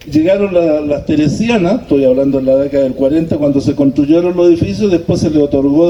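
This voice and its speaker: A man's fairly high voice at a very fast pace, with ordinary pitch variation, very even loudness and noticeable background noise. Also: hardly any pauses. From Chile, La Calera. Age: 60s. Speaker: former resident sharing local history. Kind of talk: community talk. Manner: hesitant, many fillers.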